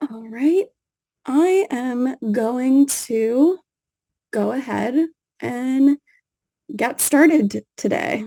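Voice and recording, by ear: Slowly, with long, frequent pauses, a woman speaks in a high, dark, mellow voice. Her intonation is lively.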